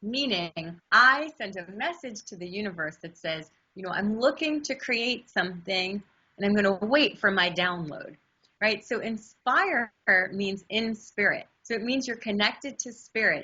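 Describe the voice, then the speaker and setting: A woman's fairly high voice at a fairly slow pace, animated in tone, with lively intonation and big swings in loudness. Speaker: astrology and numerology forecaster, intuition teacher. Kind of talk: interview.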